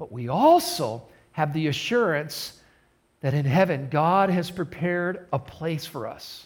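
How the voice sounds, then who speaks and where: A man's fairly high voice at a fairly slow pace, with big swings in loudness and audible room echo. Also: ordinary pitch variation. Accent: American. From US Midwest, southern Michigan. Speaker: pastor. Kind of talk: sermon. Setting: recorded in a church for online service.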